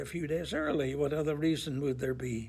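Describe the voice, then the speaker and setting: A man talks at a fairly high pitch and a fairly quick pace, with ordinary pitch variation. Noticeable background noise sits behind him. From Northern Ireland, Belfast. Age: 80s+. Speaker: priest. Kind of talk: testimony.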